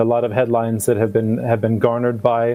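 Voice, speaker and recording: A man with a North American accent at a very fast pace, medium in pitch, over noticeable background noise. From United States. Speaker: football league executive. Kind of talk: panel discussion.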